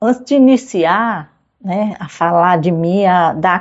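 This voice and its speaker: A woman with a medium pitch talks at a very slow speed. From Brazil, Ceará (Fortaleza). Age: 50s. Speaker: librarian and lecturer. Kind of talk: oral history interview.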